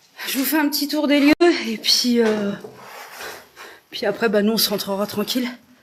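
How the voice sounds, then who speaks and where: A woman with fairly high pitch and ordinary pitch variation at a moderate pace, with long, frequent pauses and noticeable background noise. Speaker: urban explorer and paranormal live streamer. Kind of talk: live stream tour. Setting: abandoned sanatorium, indoors. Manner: casual, hesitant with many fillers.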